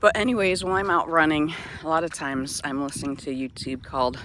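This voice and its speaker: A woman with a very deep, low voice talks at a moderate pace, her pitch swinging very widely. Noticeable background noise runs underneath. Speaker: vlogger, boat liveaboard traveler. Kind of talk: casual vlog monologue. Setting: outdoors. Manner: whispering.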